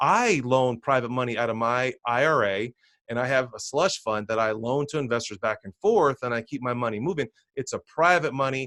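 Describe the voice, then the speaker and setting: Fairly quick speech from a man with an American accent at medium pitch, with ordinary pitch variation, a dry, close sound with no echo and a quiet background. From New Jersey. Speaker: real estate investor. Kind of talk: webinar presentation. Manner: fast.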